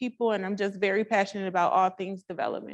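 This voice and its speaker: Against a quiet background, a woman is speaking. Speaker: development professional and consultant. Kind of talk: panel self-introduction. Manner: loud.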